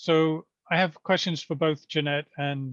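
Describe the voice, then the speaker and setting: In a British accent, a man speaks with monotone, flat intonation, and the sound is dry and close with no echo. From Britain. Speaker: neighborhood committee chair. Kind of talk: community meeting Q&A.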